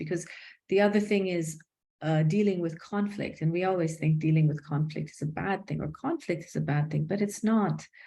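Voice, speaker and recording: Somewhat breathy, a woman speaks in a dark, mellow tone at a fairly low pitch. Her intonation stays fairly even. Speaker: executive coach. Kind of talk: casual interview.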